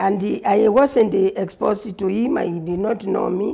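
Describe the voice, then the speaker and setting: Her dark, mellow voice sits at medium pitch, with ordinary pitch variation and some vocal fry. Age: 60s. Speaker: pastor. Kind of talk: testimony.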